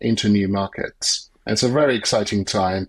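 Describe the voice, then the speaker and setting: With a British accent, a man speaks at a moderate pace in a fairly low voice with ordinary pitch variation, on a very clean recording with a silent background. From UK. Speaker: business consultant. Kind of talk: podcast interview.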